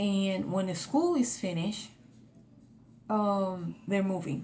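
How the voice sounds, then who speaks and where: A woman with a Spanish accent speaks at a medium pitch with ordinary pitch variation. Audible room echo and noticeable background noise are present. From Puerto Rico, moved to Florida at 13. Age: 40s. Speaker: vlogger. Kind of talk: casual vlog monologue. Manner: whispering.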